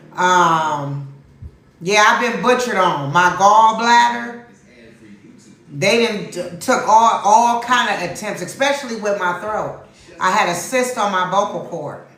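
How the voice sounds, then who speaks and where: Animated in tone, a woman talks with lively intonation at a fairly slow pace. Background noise is noticeable, and room echo is audible. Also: medium pitch for a woman. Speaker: tarot reader. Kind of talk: livestream tarot reading chat. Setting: livestream. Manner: loud.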